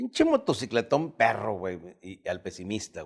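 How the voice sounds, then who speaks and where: On a very clean recording with a silent background, a man with a normal speaking voice and a medium pitch talks at a moderate pace. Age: 60s. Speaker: comedian and podcast host. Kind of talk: casual chat.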